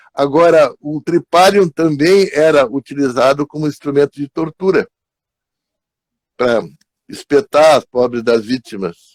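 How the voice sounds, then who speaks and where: A man with a fairly high pitch talks with lively intonation in a dry, close recording without echo. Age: 80s+. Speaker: psychologist. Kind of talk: live stream talk.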